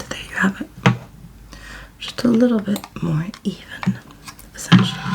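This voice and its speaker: Whispering in a gentle tone at a moderate pace, a woman leaves long, frequent pauses, with big swings in loudness and noticeable background noise. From London, England. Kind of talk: ASMR get ready with me makeup tutorial, casual talk to camera. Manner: soft-spoken, gentle, real time.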